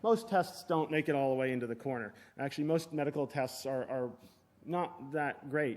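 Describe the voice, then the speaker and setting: He speaks at a fairly high pitch for a man, with ordinary pitch variation. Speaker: physician researcher. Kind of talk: conference lecture. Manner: fast; hesitant with repetitions.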